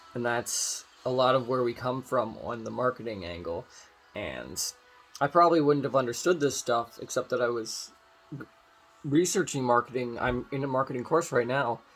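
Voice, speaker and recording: Amid noticeable background noise, a man talks at a moderate pace in a medium-pitched voice with ordinary pitch variation. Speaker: vlogger. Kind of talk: casual monologue.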